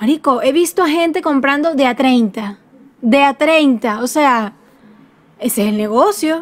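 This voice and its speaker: Speaking at a fairly slow pace, a woman with a Venezuelan accent uses a high pitch and lively intonation. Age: 20s. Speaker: podcast co-host. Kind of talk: casual chat. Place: home room.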